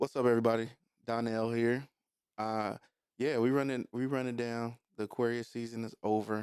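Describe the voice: The voice is plain reading aloud against a quiet background.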